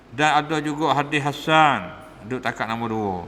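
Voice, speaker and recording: Speaking in a Patani accent, a man with a fairly high pitch and ordinary pitch variation is heard with audible room echo. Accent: Patani Malay (Kelantan-Patani dialect). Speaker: religious teacher. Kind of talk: religious lecture. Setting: mosque. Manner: casual, conversational.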